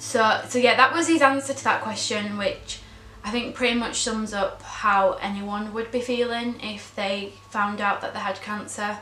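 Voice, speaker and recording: A woman speaks at a moderate pace in a fairly high voice with fairly even intonation. Noticeable background noise and audible room echo are present. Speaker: vlogger, daughter of cancer patient. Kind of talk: vlog monologue. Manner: hesitant, many ums.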